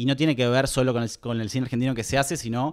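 Talking at a very fast pace with fairly even intonation, the man is heard against a quiet background. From Argentina. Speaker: film collective member; guest. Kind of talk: casual interview. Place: home room. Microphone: handheld.

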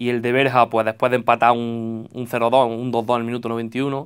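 The background is quiet. A man does the talking. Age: 20s. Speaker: football coach. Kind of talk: radio interview; interview answer. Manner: halting. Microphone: handheld.

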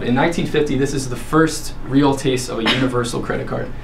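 Light background noise sits behind a man speaking at a moderate pace. His intonation is fairly even. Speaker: presenter. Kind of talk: class presentation. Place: classroom. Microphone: camera far.

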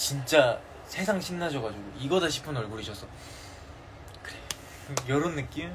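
A man talks at a moderate pace in a fairly high pitch, with lively intonation and long, frequent pauses. Noticeable background noise can be heard. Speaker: K-pop idol. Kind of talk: casual livestream chat with fans; casual live stream chat. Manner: excitable. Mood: cheerful, playful. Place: home room. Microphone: phone near.

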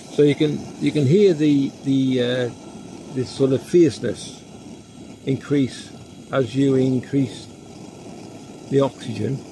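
Here a man at medium pitch has a dark, mellow tone with vocal fry, leaving long, frequent pauses over faint background noise.

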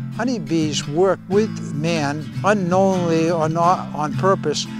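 A man talks at a very slow pace with music in the background. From Poland. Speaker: beekeeper; retired teacher. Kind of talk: documentary interview answer.

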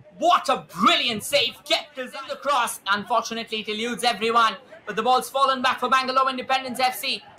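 Over clearly audible background noise, the talking moves at a fairly quick clip. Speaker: football commentator. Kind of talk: live football commentary. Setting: stadium match. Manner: animated; excitable, punchy.

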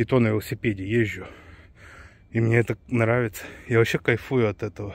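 A man talks in a monotone, flat intonation, with a dry sound and no echo. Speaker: cyclist vlogger. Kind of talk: casual vlog chat. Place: forest. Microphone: phone near.

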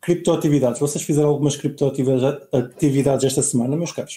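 This man has a dark, mellow tone and a fairly high pitch. His intonation is fairly even and his pace moderate. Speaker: podcast host. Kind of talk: casual chat.

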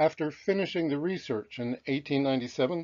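A man with a fairly high pitch talks at a moderate pace in an ordinary speaking voice, his pitch variation ordinary. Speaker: author reading his own book. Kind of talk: children's history audiobook reading.

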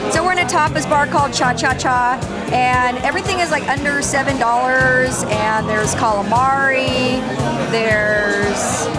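A woman keeps a moderate pace and ordinary pitch variation while music sounds behind her. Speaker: restaurant reviewer. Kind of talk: casual vlog chat. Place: bar. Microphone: phone near.

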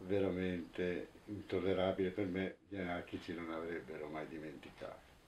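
A man speaks at a moderate pace in a very deep, low voice with a dark, mellow tone, over light background noise. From Italy, Turin; Italy. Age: 60s. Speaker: anarchist activist, witness; witness. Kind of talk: testimony interview; interview answer. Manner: halting, with fillers and repetitions. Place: home room.

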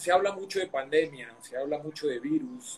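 A man's high-pitched voice at a moderate pace, with light background noise. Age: 50s. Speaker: online talk show host, personal growth. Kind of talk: interview on live stream. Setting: live video stream. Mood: calm, warm, reflective. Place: home room. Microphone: video call.

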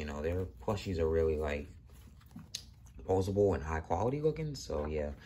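A man speaks quietly in a very deep, low voice that is somewhat breathy, with light background noise. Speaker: toy reviewer. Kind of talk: product review. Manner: casual, filler-heavy. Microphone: phone near.

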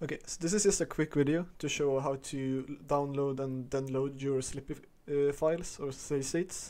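Speaking at a moderate pace with a non-native accent, a man has a dark, mellow tone, a fairly high pitch, and fairly even intonation. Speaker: gaming video creator. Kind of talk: screen-recorded tutorial. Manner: casual, many filler uhs.

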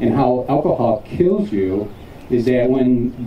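Recorded with audible room echo and light background noise, a man talks at a fairly slow pace. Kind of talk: public safety talk to students. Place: street.

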